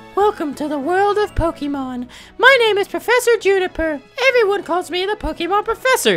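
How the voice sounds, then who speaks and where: An extremely high, put-on character voice, female-sounding, at a fairly quick pace over music in the background. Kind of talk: polite, welcoming.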